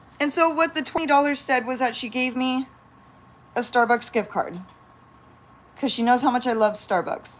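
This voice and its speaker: Animated in tone, a woman with an American accent speaks in a high pitch with ordinary pitch variation and long, frequent pauses. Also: moderate pace. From San Diego, California. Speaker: pet vlogger and yoga teacher. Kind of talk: casual livestream chat.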